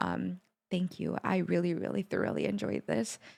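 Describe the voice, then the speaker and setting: A woman talks in a fairly low, animated voice with vocal fry. Her pace is fairly quick. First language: not English. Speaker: music reaction youtuber. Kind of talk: video reaction commentary.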